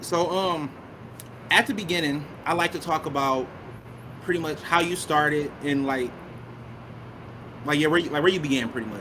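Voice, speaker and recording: Amid noticeable background noise, a man with a fairly high pitch and ordinary pitch variation speaks with long, frequent pauses. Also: moderate pace. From Detroit, Michigan. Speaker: podcast host. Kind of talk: casual chat.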